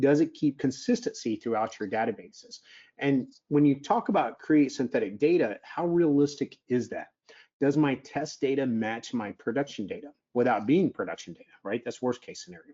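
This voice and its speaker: A man speaks with a fairly high pitch and very wide pitch swings. His loudness also swings widely. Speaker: software vendor presenter. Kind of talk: webinar technical presentation. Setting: online webinar. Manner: fast.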